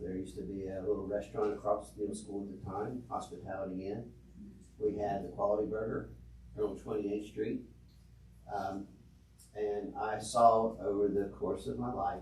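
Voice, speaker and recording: With an American accent, a man speaks in a fairly low voice at a moderate pace with ordinary pitch variation. There is audible room echo. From West Virginia, US. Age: 60s. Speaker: city council member. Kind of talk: council meeting discussion. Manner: hesitant, many fillers.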